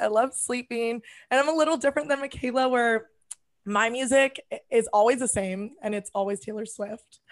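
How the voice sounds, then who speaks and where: The voice has an animated tone at a moderate pace. The background is quiet. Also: woman. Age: 20s. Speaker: podcast co-host. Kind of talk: casual chat.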